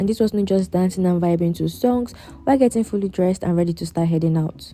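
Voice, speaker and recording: Speaking at a very fast pace with lively intonation, a woman with a Nigerian accent has a medium pitch and a dark, mellow tone. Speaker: nursing student vlogger. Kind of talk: vlog voiceover narration.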